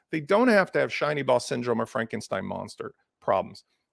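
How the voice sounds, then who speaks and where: Very wide pitch swings mark this man's fairly quick delivery. The sound is dry and close with no echo, on a very clean recording with a silent background. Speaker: conference speaker on WordPress. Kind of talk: conference presentation. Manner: fast.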